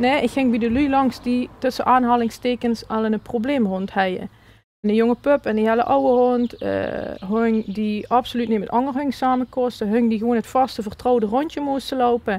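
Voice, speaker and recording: Her pitch is high. The woman keeps a moderate tempo as she talks. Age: 30s. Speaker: dog coach. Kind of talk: interview answer.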